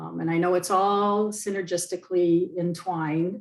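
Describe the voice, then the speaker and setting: This is a woman with a fairly low pitch. Her intonation is monotone and flat. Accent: Canadian. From Ontario, Canada. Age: 70s. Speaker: product distributor. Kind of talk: interview answer.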